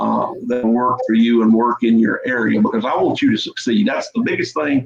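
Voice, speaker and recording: A man talks at a moderate pace in a Deep South accent. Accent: Southern US (Deep South). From US South, Mississippi (Jones County). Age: 50s. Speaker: livestock breeder, farmer. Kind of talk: casual chat.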